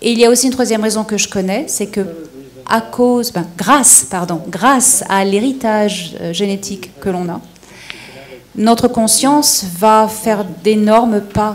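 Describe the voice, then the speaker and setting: A woman's fairly high, fairly slow voice with ordinary pitch variation over noticeable background noise. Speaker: panel speaker on extraterrestrial topics. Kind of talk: question and answer session. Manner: halting.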